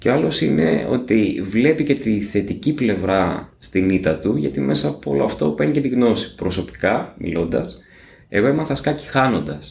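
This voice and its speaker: Somewhat breathy and fairly low in pitch, a man speaks at a moderate pace with very wide pitch swings and very even loudness, with audible room echo around him. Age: 40s. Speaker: podcast host. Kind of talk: interview.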